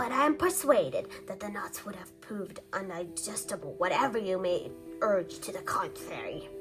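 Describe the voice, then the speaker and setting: A woman performs a put-on character voice. Clear music plays behind her. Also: moderate pace. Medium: read story. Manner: fussy, formal.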